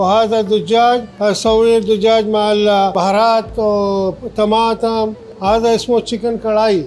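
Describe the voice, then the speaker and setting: Monotone, flat intonation and very even loudness. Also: man, high pitch for a man. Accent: Urdu. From Pakistan. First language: Urdu (speaking Arabic). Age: 60s. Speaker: restaurant owner. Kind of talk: casual interview. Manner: halting.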